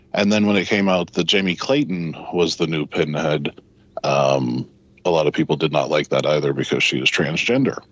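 A man speaks at a moderate pace in a very deep, low voice with ordinary pitch variation. His loudness stays very even over noticeable background noise. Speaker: movie reviewer panelist. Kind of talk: casual banter and movie review.

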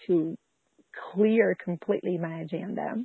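The speaker is a woman with ordinary pitch variation. Her pace is fairly slow. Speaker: pastor and homeschool mom. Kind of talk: interview.

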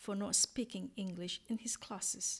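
Her pitch is fairly high, with ordinary variation. The woman sounds somewhat breathy. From Singapore. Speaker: podcaster and English teacher. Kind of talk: scripted narration. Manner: measured.

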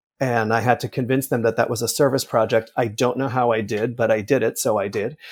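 Here a man with an American accent and an ordinary speaking voice talks at a fairly quick pace, medium in pitch with fairly even intonation, on a very clean recording with a silent background. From New Jersey. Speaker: theatre director. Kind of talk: interview.

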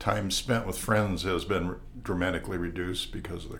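Audible room echo surrounds a man speaking at a moderate pace with an American accent. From US Midwest (Wisconsin, farm upbringing). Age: 70s. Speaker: retired estate planning lawyer. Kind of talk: casual interview. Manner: halting.

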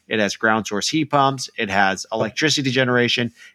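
A man with an American accent, a plain, everyday voice, medium pitch and fairly even intonation, on a very clean recording with a silent background. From Illinois. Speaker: podcast host. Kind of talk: interview.

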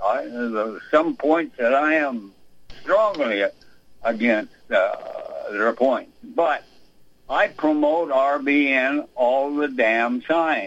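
A man with an American accent at a very slow pace and very even loudness. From Iowa, US Midwest. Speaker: caller. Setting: phone call.

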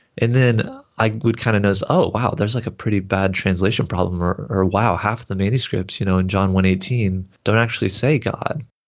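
This man has a fairly low pitch and an ordinary speaking voice. He talks at a fairly quick pace with hardly any pauses and very even loudness. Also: ordinary pitch variation. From Texas. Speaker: seminary graduate. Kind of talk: interview.

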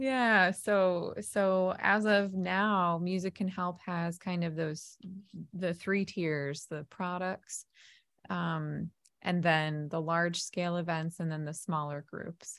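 An American accent at a very slow pace, with fairly even intonation, in a very clean recording with a silent background. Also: woman, fairly low pitch for a woman. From New Jersey. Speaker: music therapist and small business owner. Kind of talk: casual interview chat.

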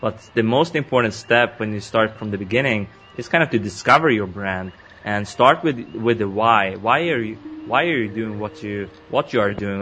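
Ordinary pitch variation in a man's fairly low voice, a moderate pace, and noticeable background noise. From Sweden. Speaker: entrepreneur and podcaster. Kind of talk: interview.

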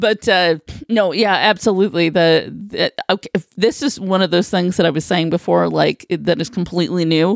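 In a dry, close recording with no echo, a woman speaks with vocal fry at a fairly low pitch and a moderate pace. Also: ordinary pitch variation. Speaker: co-host. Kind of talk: casual chat.

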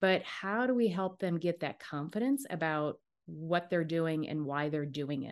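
Someone talks in an American accent with lively intonation at a fairly slow pace. The background is quiet. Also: woman, fairly low pitch for a woman. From US Midwest, Dubuque, Iowa. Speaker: career and strengths coach. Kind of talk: casual interview.

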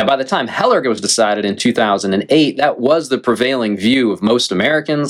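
A man with an unremarkable speaking voice talks fairly quickly at a medium pitch. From North Carolina. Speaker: law professor. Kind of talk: interview. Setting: remote call.

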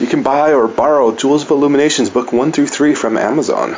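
A man with a medium-pitched voice talks at a moderate pace against noticeable background noise. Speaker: podcast host and fantasy author. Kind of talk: casual interview.

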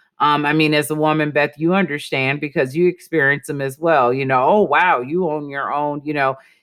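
In an American accent, a woman with a very deep, low pitch talks at a fairly quick pace with hardly any pauses. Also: fairly even intonation. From US Midwest, Milwaukee, Wisconsin. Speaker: sociologist and diversity speaker. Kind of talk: interview.

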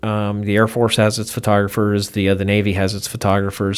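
A man in an American accent, fairly low-pitched and fairly quick, with monotone, flat intonation. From US, Baltimore, of Cuban parents. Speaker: aviation photographer. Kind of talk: interview. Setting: in person.

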